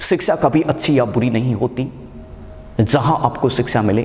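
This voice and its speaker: Noticeable background noise behind a man's voice of medium pitch. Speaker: academy teacher, motivational speaker. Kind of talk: motivational speech to students.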